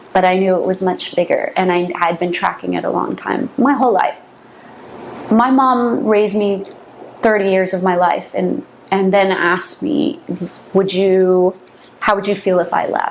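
A woman talks at a moderate pace and medium pitch with ordinary pitch variation. Her speech has long, frequent pauses, and there is noticeable background noise. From San Francisco Bay Area. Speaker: interviewee on occult topics. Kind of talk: interview.

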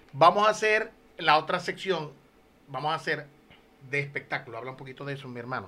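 This man speaks at a fairly high pitch and a fairly quick pace, with lively intonation, big swings in loudness, and long, frequent pauses. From Venezuela, Lagunillas, Zulia. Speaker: podcast co-host, musician. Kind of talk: casual chat. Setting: studio.

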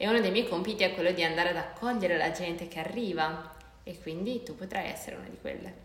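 A woman's fairly low voice at a very fast pace, with ordinary pitch variation, big swings in loudness, audible room echo and noticeable background noise. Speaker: podcast co-host, university student. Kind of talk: casual chat.

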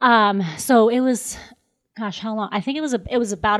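A woman with an ordinary speaking voice speaks at a moderate pace in an American accent, her pitch medium with ordinary variation. The recording is very clean, with a silent background. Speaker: dietitian. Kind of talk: casual podcast interview.

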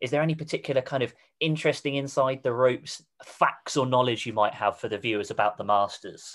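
Speaking very fast, a man with a southern English accent has a medium pitch and ordinary pitch variation. The recording is very clean, with a silent background. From southern England, Reading. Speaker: golf coach and podcast host. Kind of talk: casual interview. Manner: enthusiastic.

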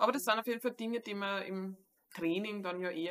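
A woman's bright, sharp tone at medium pitch, with fairly even intonation and a fairly quick pace. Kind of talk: casual interview.

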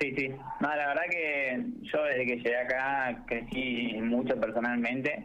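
Here a man speaks fairly slowly at a medium pitch, keeping his intonation fairly even. Room echo can be heard. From Argentina, La Pampa. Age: young. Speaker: architecture student. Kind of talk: radio interview.

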